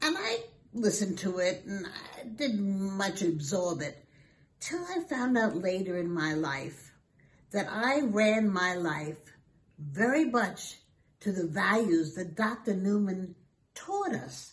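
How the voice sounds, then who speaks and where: At a very slow pace, a woman with an American accent talks at a medium pitch with lively intonation. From Brooklyn, New York. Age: 80s+. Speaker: school alumna. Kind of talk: interview.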